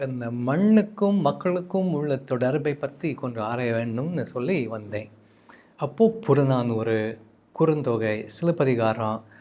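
Lively intonation marks this man's speech in an English accent. His medium-pitched voice carries a dark, mellow tone. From United States. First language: English (speaking Tamil). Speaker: translator and Tamil scholar. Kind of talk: interview. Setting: studio. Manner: halting.

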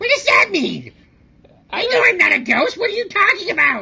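A squeaky, shouting, put-on character voice at a moderate pace. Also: woman, extremely high pitch for a woman. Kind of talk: comedic puppet banter. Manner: yelling, indignant. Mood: indignant, comic.

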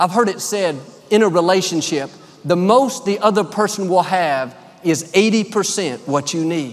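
A man speaks at a fairly slow pace with a high pitch. His intonation is lively. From United States. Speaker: preacher. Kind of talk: sermon delivered to a congregation. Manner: warm, friendly, upbeat. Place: hall. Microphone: headset.

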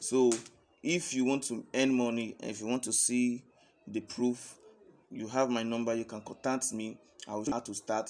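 Medium in pitch, a man talks at a moderate pace with monotone, flat intonation. He leaves long, frequent pauses. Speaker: online earning promoter. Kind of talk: sales pitch. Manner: halting. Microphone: phone near.

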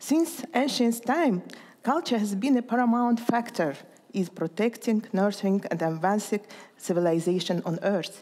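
Speaking at a moderate pace, a woman uses a fairly high, dark and mellow voice with lively intonation. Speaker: cultural foundation president. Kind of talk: formal speech. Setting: stage with audience. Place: hall.

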